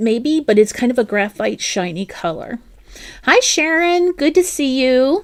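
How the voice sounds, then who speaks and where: In a New Jersey accent, a woman speaks at a fairly slow pace. Her pitch is high, with very wide pitch swings. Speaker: crochet livestream host. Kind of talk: casual live-stream chat. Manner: chatty, with fillers and self-corrections.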